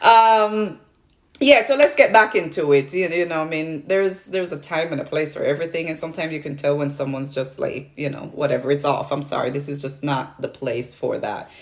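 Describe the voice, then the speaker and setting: In a Jamaican accent, a woman with a very deep, low pitch speaks at a fairly quick pace with lively intonation. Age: 40s. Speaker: nutrition product seller and health influencer. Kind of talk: livestream chat with viewers. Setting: livestream on social media. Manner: halting, many fillers.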